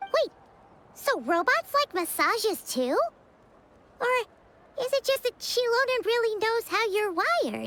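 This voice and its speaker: A woman uses a put-on character voice, squeaky and bubbly, at an extremely high pitch and a moderate pace. Long, frequent pauses break up her speech, and the sound is dry and close with no echo. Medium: video game. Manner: bubbly, excitable.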